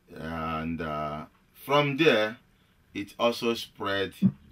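Bright and sharp in tone, a man speaks with lively intonation at a very deep, low pitch. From Nigeria. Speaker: actor and film director. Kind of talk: radio interview. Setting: radio studio. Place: home room.

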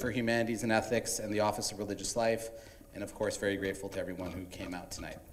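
A man's voice comes through with light background noise behind it. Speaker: event host. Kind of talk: welcome speech. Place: hall. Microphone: handheld.

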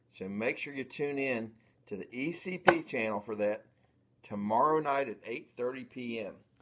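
Over loud background noise, a man with an American accent talks at a fairly slow pace with ordinary pitch variation. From United States. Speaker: coin auction seller and YouTube channel host. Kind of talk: pitchman selling, hyping coins for an upcoming auction. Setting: video recording to camera for YouTube. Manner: animated, salesman-like enthusiasm, gushing repetition. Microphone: phone near.

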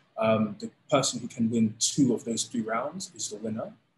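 This is a man talking with a London accent. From London, England. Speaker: combat sports league founder. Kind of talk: interview.

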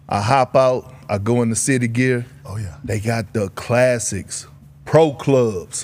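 A man speaks very slowly at medium pitch with ordinary pitch variation. Noticeable background noise is present. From Texas, Beaumont. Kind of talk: casual chat. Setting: studio.

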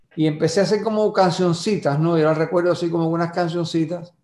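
High male voice with fairly even intonation and audible room echo. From Cuba, Cárdenas (Matanzas); Cuba. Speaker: songwriter; guest. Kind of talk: interview. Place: home room. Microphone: video call.

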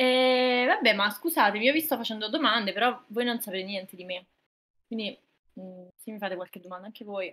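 A bright, sharp tone at a fairly quick pace, with ordinary pitch variation and big swings in loudness. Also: woman, fairly high pitch for a woman. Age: 20s. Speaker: streamer. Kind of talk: casual chat.

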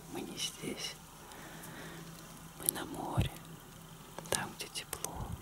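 A soft-spoken man whispers. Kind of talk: soft intimate talk, ASMR-style role-play. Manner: soft close whisper, calming. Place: home room. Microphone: phone near.

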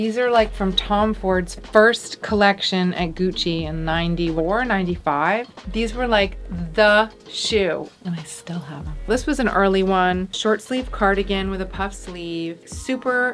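Faint music plays behind a woman who speaks fairly slowly with ordinary pitch variation. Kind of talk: casual closet tour chat. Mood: relaxed, nostalgic. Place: home room.

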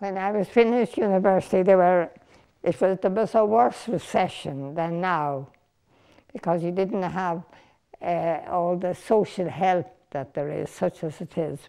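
Female voice with an Irish accent, dark and mellow in tone, at a fairly slow pace against a quiet background. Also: medium pitch for a woman, ordinary pitch variation. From Ireland. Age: 80s+. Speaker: documentary interviewee. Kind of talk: documentary interview answer. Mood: reflective, reminiscing. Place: home room. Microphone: lapel.

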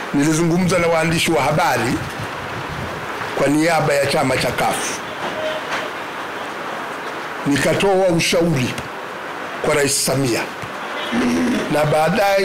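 A man talks at a fairly slow pace with a high pitch for a man and fairly even intonation. Noticeable background noise runs underneath. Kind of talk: political speech. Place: hall. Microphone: podium.

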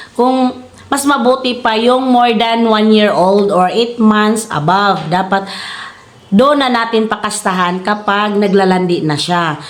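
A woman's fairly high voice at a fairly slow pace, with ordinary pitch variation, very even loudness, audible room echo and noticeable background noise. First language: Cebuano (speaking Tagalog). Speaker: YouTuber and hog farmer. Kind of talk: casual tutorial vlog. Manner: halting, stumbling over words; laughs often.

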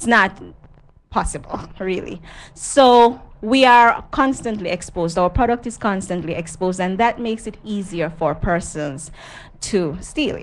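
The voice belongs to a woman. Lively intonation runs through what she says. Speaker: guest. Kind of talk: interview answer. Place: studio. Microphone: handheld.

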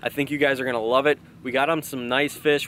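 Light background noise sits under a man's fairly even intonation, the recording dry with no echo. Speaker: fishing vlogger. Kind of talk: casual vlog intro. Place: waterside.

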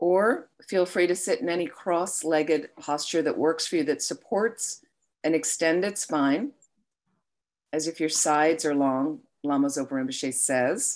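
A woman talks fairly slowly in a very deep, low voice with ordinary pitch variation. The background is quiet. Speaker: meditation teacher. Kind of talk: guided meditation. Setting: online live stream. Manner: slow, soothing, calm. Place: home room. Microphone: webcam.

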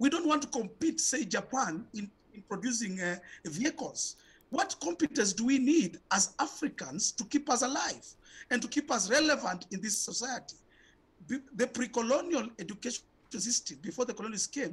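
A man speaks at an extremely high pitch. His intonation is lively. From Kenya. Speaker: education activist; guest. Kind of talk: panel discussion. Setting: video call. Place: home room. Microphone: video call.

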